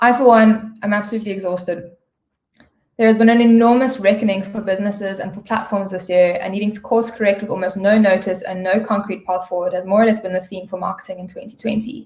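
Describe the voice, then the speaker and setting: A woman's somewhat breathy, medium-pitched voice at a very fast pace, with fairly even intonation and big swings in loudness. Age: 30s. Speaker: digital media sales strategist. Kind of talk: webinar presentation.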